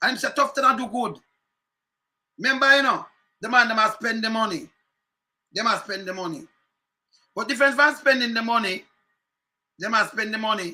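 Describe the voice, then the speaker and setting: With a Jamaican accent, a man speaks at an extremely high pitch in a raised, projected voice, with a bright, sharp tone and ordinary pitch variation. His pace is fairly quick, broken by long, frequent pauses. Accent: Jamaican Patois. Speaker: political commentator. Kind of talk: political rant. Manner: animated.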